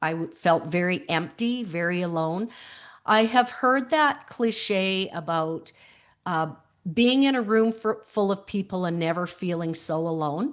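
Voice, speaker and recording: Over a quiet background, a woman with a Canadian accent and an ordinary speaking voice talks at a fairly slow pace and a medium pitch with lively intonation. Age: 60s. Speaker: grief support coach, widow. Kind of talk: interview conversation.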